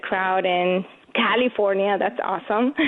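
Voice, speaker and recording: A woman speaks at medium pitch with a slight Venezuelan accent. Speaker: competitive shooter and gun-rights commentator. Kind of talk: radio interview.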